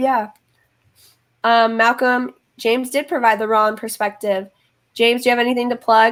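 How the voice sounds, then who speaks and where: Pitched fairly high, a woman talks at a moderate pace with long, frequent pauses. Her intonation is monotone and flat. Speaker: YouTuber and livestream host. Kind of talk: casual livestream chat. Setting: livestream. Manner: stutters often; filler-heavy, casual.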